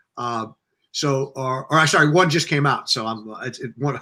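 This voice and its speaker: A fairly high male voice with a bright, sharp tone, a moderate pace and ordinary pitch variation, on a very clean recording with a silent background. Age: 60s. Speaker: novelist. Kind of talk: interview. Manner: rambling, halting.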